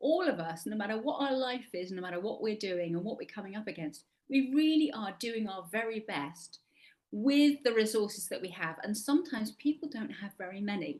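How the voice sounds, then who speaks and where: With an English accent, a woman speaks in a fairly high pitch with very wide pitch swings. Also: fairly quick pace. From England. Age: 60s. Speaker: actor and life coach. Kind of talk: interview.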